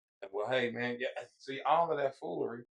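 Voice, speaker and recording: Speaking at a moderate pace with an American accent, a man has a plain, everyday voice and a fairly high pitch. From Fort Worth, Texas (Stop Six). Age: 60s. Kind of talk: casual chat. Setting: livestream.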